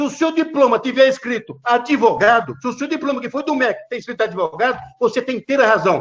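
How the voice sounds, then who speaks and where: A man's extremely high voice at a moderate pace, with ordinary pitch variation. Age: 60s. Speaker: political commentator. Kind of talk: political rant. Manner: angry, insulting outbursts.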